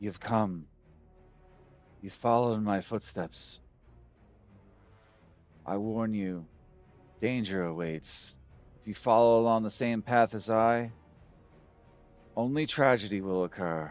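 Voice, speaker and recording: A man performs a put-on character voice at medium pitch and a fairly slow pace. He takes long, frequent pauses while faint music plays in the background. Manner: warning.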